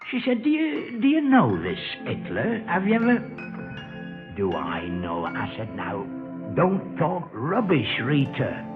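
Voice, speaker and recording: A man with a Lancashire accent at a fairly slow pace, with long, frequent pauses and music in the background. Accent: dry Lancashire. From Lancashire, England. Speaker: comedian. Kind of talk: comic monologue.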